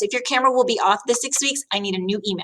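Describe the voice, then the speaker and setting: A woman speaks at a very fast pace. Her tone is bright and sharp. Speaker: schoolteacher. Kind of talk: tutorial.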